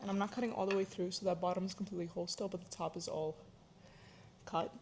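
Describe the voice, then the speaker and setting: A woman with a somewhat breathy voice talks at a very fast pace and a medium pitch. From Florida, US, Ukrainian-speaking immigrant family. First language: Ukrainian. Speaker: cooking vlogger, student. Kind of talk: casual cooking vlog talk. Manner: casual, with many fillers.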